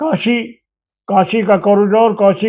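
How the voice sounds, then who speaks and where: The man's pitch sits high. His intonation is fairly even. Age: 70s. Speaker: trader leader and party politician. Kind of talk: political interview.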